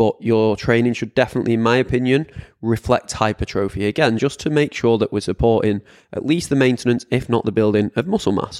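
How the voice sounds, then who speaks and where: A man with a British accent, medium pitch, ordinary pitch variation and a very fast pace, in a dry, close sound with no echo. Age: 30s. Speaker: fitness coach podcast host. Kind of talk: solo podcast monologue. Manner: casual, chatty.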